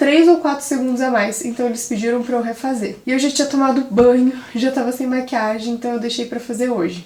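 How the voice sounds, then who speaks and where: Over noticeable background noise, a woman speaks at a fairly quick pace with a high pitch and fairly even intonation. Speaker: content creator / influencer. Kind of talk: vlog / behind-the-scenes tutorial. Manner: can sound a bit serious.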